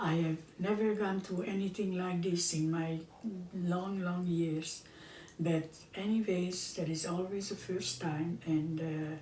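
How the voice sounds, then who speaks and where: Amid noticeable background noise and audible room echo, a woman with a fairly low pitch speaks at a fairly slow pace with fairly even intonation. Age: 90s. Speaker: home cooking show host. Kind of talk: casual chat. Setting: at home, filmed by her son. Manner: halting.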